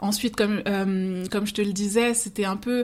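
A woman of medium pitch talks at a very fast pace with fairly even intonation. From Seine-Saint-Denis, Paris suburbs, France. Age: 30s. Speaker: life coach and former social worker. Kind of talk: interview testimony.

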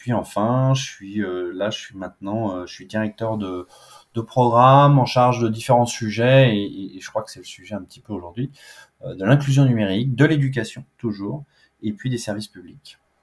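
A man talks at a moderate pace and medium pitch with ordinary pitch variation. His loudness swings widely. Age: 40s. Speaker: public finance program director. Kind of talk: interview. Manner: casual with frequent hesitations.

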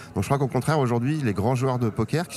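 A man speaks at a fairly quick pace with a medium pitch. Music plays in the background. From Paris, France. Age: 40s. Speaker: amateur poker champion. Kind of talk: casual interview. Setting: poker tournament venue.

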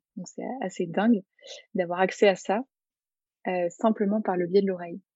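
Her voice is somewhat breathy with a dark, mellow tone, as the woman speaks at a medium pitch and a moderate pace with fairly even intonation, in a dry, close sound with no echo. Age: 20s. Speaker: therapist. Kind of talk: interview.

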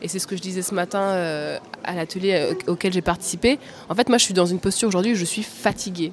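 A fairly quick pace with fairly even intonation. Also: woman, medium pitch for a woman. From France, working-class suburbs. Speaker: TV journalist. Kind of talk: panel discussion. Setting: live recording at a journalism festival. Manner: halting, repeats words.

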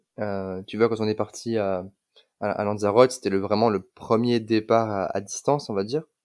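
Fairly low in pitch, a man speaks in an unremarkable speaking voice with fairly even intonation on a very clean recording with a silent background. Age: 20s. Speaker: digital nomad, mobility consultant. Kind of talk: casual chat.

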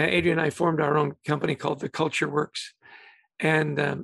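A man with a Western Canadian accent speaks at a moderate pace in a fairly high pitch, the sound dry and close with no echo. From Canada (Vancouver, British Columbia). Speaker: leadership author and culture consultant. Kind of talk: interview.

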